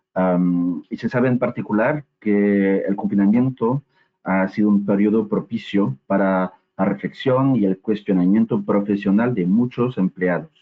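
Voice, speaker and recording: At a fairly slow pace, a man with a fairly low pitch speaks with very even loudness and ordinary pitch variation. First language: French (speaking Spanish). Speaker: HR assessment company manager, webinar presenter. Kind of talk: webinar presentation. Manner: hesitant with frequent fillers.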